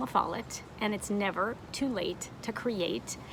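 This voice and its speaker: The speaker talks at a fairly slow pace in a normal speaking voice. Pitch varies in an ordinary way. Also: woman. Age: 60s. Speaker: online art teacher. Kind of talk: motivational talk to camera. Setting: outdoors on a deck.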